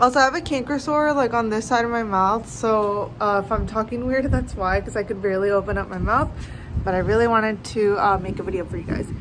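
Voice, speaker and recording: Amid noticeable background noise, a woman talks at a very fast pace with ordinary pitch variation. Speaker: vlogger. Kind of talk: casual vlog chat. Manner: restricted mouth speech from sore. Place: garden. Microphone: phone near.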